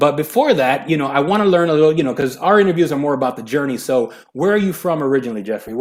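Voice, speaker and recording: A man with a Miami accent, at a very fast pace. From Hialeah, Florida. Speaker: podcast host. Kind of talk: interview. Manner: casual.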